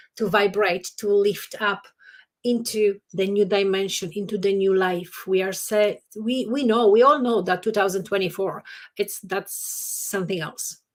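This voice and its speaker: The woman's intonation stays fairly even while she talks at a fairly slow pace. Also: medium pitch for a woman. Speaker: yoga teacher. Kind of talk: casual chat. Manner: loud.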